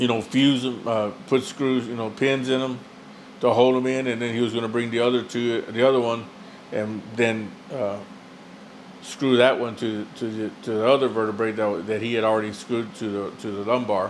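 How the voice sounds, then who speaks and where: Flat, monotone intonation comes through audible room echo and noticeable background noise. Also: man, medium pitch for a man, moderate pace. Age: 60s. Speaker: patient giving testimonial. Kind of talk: testimony. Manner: halting, many fillers and repetitions.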